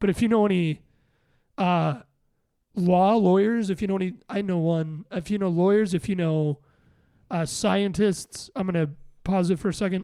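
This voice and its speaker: A man in a dark, mellow tone, high-pitched with an American accent, at a moderate pace with ordinary pitch variation and long, frequent pauses. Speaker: podcast host and musician. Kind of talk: casual chat.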